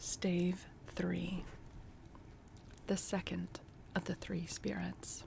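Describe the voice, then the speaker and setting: Whispering at a very slow pace in a calm tone, the speaker leaves long, frequent pauses. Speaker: booktube reader. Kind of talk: audiobook reading of a classic novel, cozy holiday cold read. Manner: soft-spoken, calm storytelling.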